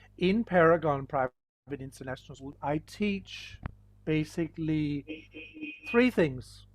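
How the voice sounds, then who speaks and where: A man with a Danish accent speaks at a very slow pace. His pitch is fairly high and his intonation lively. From Denmark. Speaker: school teacher. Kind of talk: online lesson.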